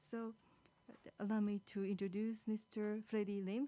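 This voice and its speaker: A woman speaks at a fairly slow pace with a fairly high pitch. Her tone is dark and mellow. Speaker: moderator. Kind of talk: panel moderation.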